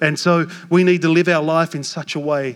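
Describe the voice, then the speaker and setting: Ordinary pitch variation from a man, at a fairly slow pace. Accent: Australian. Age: 40s. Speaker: pastor. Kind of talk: sermon. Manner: animated.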